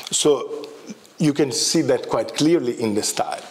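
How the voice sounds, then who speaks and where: Noticeable background noise and audible room echo accompany the man as he speaks. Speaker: professor of Tibetan studies. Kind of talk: lecture. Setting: lecture hall with audience. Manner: halting, many fillers.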